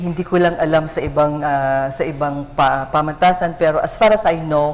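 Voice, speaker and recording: Audible room echo and noticeable background noise around a moderate pace and fairly even intonation. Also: woman, very deep, low pitch for a woman. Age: 60s. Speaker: ROTC commandant and university professor. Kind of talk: TV interview.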